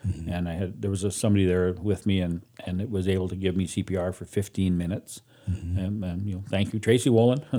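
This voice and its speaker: With a Canadian Prairies accent, a man speaks at a very fast pace in a very deep, low pitch, his tone dark and mellow and his intonation fairly even. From Canada, Saskatchewan. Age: 60s. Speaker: guest sharing life story. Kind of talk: personal testimony.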